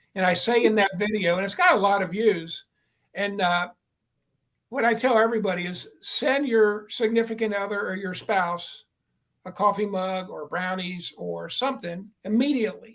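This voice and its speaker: With a high pitch, a man talks at a moderate pace using ordinary pitch variation. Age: 60s. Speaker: real estate coach. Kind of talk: interview testimonial.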